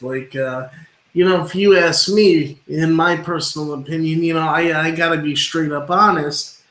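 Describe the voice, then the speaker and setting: A man talks in a normal speaking voice at a fairly high pitch. His intonation is fairly even and his pace moderate. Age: 20s. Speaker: wrestling podcast host. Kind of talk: casual interview chat.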